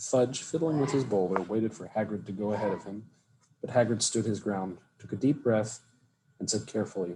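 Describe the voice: This is plain reading aloud. Pitch shifts in an ordinary way.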